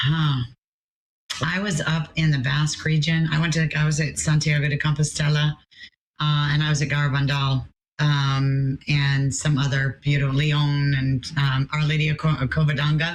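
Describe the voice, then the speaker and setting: Somewhat breathy and very even in loudness, a woman speaks in a very deep, low pitch with a flat, monotone delivery. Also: moderate pace. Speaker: pilgrimage tour coordinator. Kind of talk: interview.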